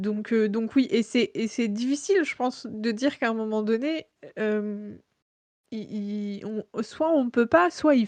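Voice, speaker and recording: A woman with a fairly high pitch and lively intonation speaks at a very slow pace. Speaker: podcast host. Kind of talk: casual interview conversation. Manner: halting, many fillers and repetitions.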